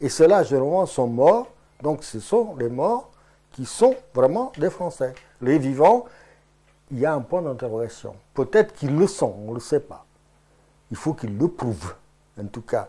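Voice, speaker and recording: This voice has a dark, mellow tone and a Portuguese accent. Its pitch swings very widely, broken by long, frequent pauses. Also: man, big swings in loudness. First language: Portuguese (speaking French). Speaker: Portuguese immigrant interviewee. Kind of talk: interview. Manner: hesitant, many fillers.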